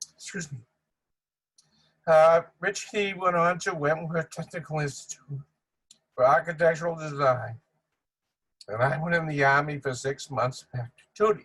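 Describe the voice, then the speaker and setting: With a Boston accent, a man speaks with long, frequent pauses. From Boston, Massachusetts (Dorchester). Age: 80s+. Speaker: family friend giving eulogy. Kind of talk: memorial tribute speech. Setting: virtual video tribute.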